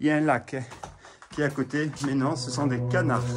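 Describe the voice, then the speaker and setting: A medium-pitched man's voice, fairly even in intonation and moderate in pace. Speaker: urban explorer vlogger. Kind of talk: walking tour vlog. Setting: outdoors in the rain. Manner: loud.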